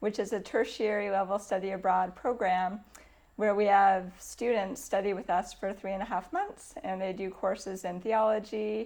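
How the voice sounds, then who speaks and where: Fairly even intonation at a moderate pace in a Canadian accent. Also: woman, medium pitch for a woman. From Canada. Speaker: church environmental ministry worker. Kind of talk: interview monologue. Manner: hesitant, with frequent fillers.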